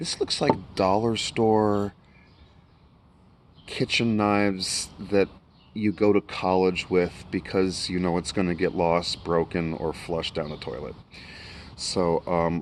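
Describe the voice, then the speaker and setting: A quiet man with an American accent speaks in a very deep, low voice at a very slow pace, with fairly even intonation and long, frequent pauses. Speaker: YouTuber reviewing knives. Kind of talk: casual product review vlog. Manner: quiet, kept low.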